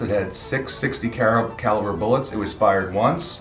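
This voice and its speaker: A man is speaking in a room with audible echo. Faint music plays in the background. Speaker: guest. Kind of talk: interview answer. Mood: friendly, relaxed, humorous. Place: workshop.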